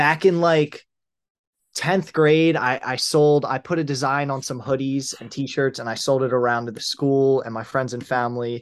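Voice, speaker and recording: A man with an American accent speaks in a plain, everyday voice at a medium pitch, with ordinary pitch variation against a quiet background. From US Northeast, Pennsylvania near Philadelphia. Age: 20s. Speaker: clothing brand founder. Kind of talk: interview.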